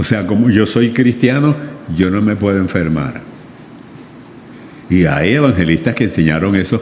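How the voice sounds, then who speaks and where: With audible room echo and noticeable background noise, the voice makes very wide pitch swings and takes long, frequent pauses. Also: man. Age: 80s+. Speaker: pastor. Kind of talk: sermon.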